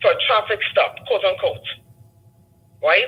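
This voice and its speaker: Speech moves at a moderate speed. The speaker talks with a non-native accent. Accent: foreign. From a developing country abroad, immigrant. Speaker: caller. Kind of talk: call-in discussion.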